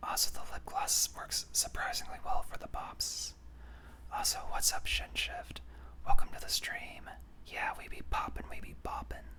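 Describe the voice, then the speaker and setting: Someone whispers. Noticeable background noise runs underneath. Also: moderate pace. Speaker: streamer. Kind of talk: ASMR whispering livestream. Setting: live stream. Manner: whispering; soft.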